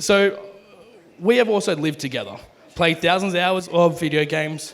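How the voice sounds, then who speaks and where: A man with a fairly high pitch, ordinary pitch variation and a moderate pace. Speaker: best man. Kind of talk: wedding speech. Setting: wedding reception. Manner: loud.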